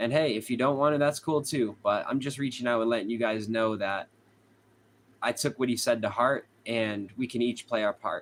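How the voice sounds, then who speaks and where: The intonation stays fairly even. There is a slight Boston accent. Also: man, medium pitch for a man, moderate pace. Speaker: true crime streamer. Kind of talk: live stream chat with viewers.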